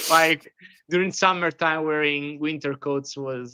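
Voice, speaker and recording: Someone speaks with an Italian accent. The pace is moderate. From Italy, Rome. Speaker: podcast host. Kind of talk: interview.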